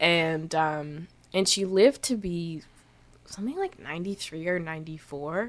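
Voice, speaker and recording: At a moderate pace, a woman talks in an ordinary speaking voice, fairly low in pitch with ordinary pitch variation. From Canada. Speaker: musician. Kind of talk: casual interview chat. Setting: studio.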